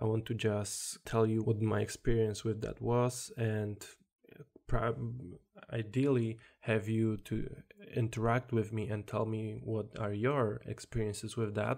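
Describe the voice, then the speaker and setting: At a fairly slow pace, a man with a Polish accent speaks at medium pitch in a monotone with flat intonation. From Poland. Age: 20s. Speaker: self-development podcaster. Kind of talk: solo podcast monologue. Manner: halting.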